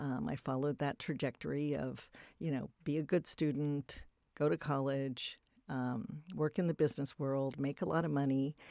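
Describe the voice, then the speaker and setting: Over a very clean recording with a silent background, a woman speaks at a very deep, low pitch in a dark, mellow tone with ordinary pitch variation and a dry, close sound with no echo. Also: moderate pace. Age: 60s. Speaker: writer, filmmaker and philanthropist. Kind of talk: interview, life story. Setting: filmed podcast interview.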